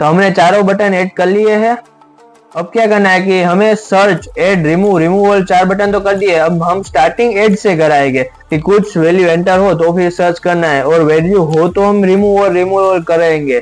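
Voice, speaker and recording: A man's high-pitched voice, fairly even in intonation and very even in loudness, with music in the background. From Gujarat, India. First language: Gujarati (speaking Hindi). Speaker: coding tutorial youtuber. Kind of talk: tutorial. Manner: casual, thinking aloud.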